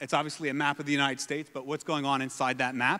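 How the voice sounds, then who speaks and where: The speaker is a man. He talks at a very fast pace with a bright, sharp tone. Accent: New York. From New York City, US. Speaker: environmental entrepreneur and fund manager. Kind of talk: conference talk. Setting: stage with audience.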